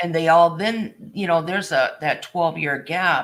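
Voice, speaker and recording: Speaking fairly slowly in an ordinary speaking voice, a man with a fairly high pitch is heard on a very clean recording with a silent background. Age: 60s. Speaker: crafter. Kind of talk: casual chat.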